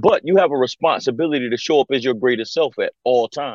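An ordinary speaking voice: a man with an American accent talks at a fairly quick pace and fairly high pitch, with lively intonation. The sound is dry and close with no echo, over a quiet background. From US South, Conway, South Carolina. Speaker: motivational speaker and marine veteran. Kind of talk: radio interview. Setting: video call.

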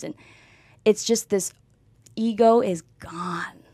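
A woman speaks in a dark, mellow tone with an American accent. The recording is very clean, with a silent background. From Boston area. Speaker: former college athlete. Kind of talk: interview. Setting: studio. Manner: animated.

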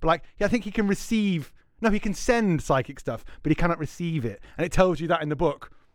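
This man has a Scouse accent and a high pitch. He talks at a fairly quick pace with lively intonation. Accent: Scouse (Liverpool) English. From Liverpool, England. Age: 30s. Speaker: game store owner. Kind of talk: casual chat.

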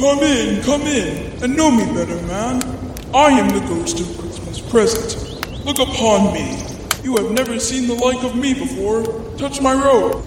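A man uses a put-on character voice pitched extremely high, at a moderate pace. Loud background noise and strong echo fill the recording. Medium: audio drama.

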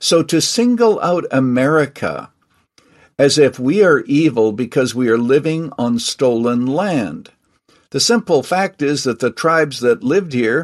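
Against a quiet background, a man with an ordinary speaking voice talks at a fairly slow pace with a fairly high pitch and lively intonation. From Canada. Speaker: retired pastor and author. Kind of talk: interview.

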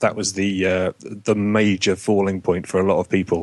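A man with an English accent talks at a moderate pace. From UK. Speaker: podcast guest, game company owner.

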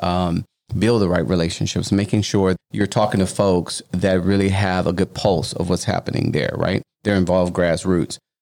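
This man speaks at a fairly quick pace with hardly any pauses. His very deep, low pitch holds a very even loudness. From Louisiana. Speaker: anti-trafficking nonprofit founder. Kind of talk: interview.

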